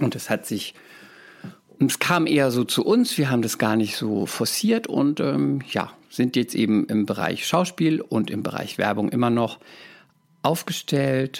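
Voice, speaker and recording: At a fairly slow pace, a man speaks in an unremarkable speaking voice. His pitch is medium, with ordinary variation. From Palatinate, Germany (Speyer). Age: 30s. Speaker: actor and talent agency owner. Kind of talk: casual interview chat.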